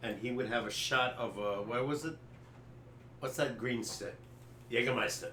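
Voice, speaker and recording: A man's medium-pitched voice with fairly even intonation and long, frequent pauses, amid noticeable background noise and audible room echo. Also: moderate pace. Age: 70s. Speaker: sports podcast co-host. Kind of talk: casual chat. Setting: live stream.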